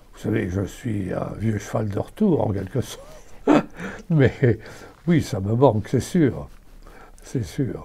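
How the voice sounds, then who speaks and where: A man at a very slow pace with long, frequent pauses and lively intonation, amid noticeable background noise. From Belgium, Namur and Brussels. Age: 80s+. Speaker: actor. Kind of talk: interview. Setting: at his home. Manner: halting.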